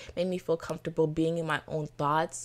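In a very clean recording with a silent background, a woman with an American accent speaks at a fairly low pitch. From Florida, Haitian family. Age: 20s. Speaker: podcast host, college student. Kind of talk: solo podcast monologue. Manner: enthusiastic, animated.

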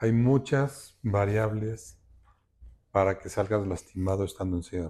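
A normal speaking voice from a man at a fairly low pitch and fairly slow pace, with ordinary pitch variation and big swings in loudness, in a very clean recording against a silent background. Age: 60s. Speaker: architect and road safety activist. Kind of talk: interview testimony.

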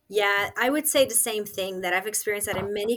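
Here is a woman with a normal speaking voice at a medium pitch. She talks at a fairly quick pace with ordinary pitch variation. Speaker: pro-life advocate. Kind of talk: podcast interview.

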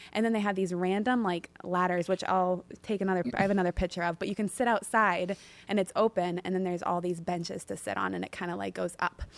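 Over a silent background on a very clean recording, the speech runs at a very fast pace with fairly even intonation. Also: woman, medium pitch for a woman, dry, close sound with no echo. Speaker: guest. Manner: fast talker.

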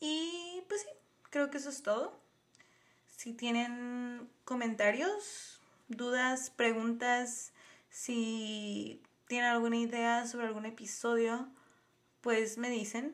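Pausing long and often, a woman speaks at a very slow pace in a high voice with ordinary pitch variation. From Tijuana, Baja California, Mexico. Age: 20s. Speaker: podcast host, biology researcher. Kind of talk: casual monologue. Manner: animated.

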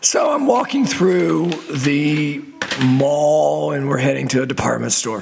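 A man talks in a room with audible echo, and noticeable background noise is present. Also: fairly slow pace. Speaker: podcast host. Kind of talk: casual monologue. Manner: hesitant with fillers.

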